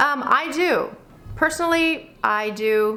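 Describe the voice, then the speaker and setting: Lively intonation colors the speech of a woman with an American accent. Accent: slight Pennsylvania Dutch. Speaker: Mennonite mom vlogger. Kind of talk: Q&A vlog, reading and answering viewer questions. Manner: casual, conversational with fillers.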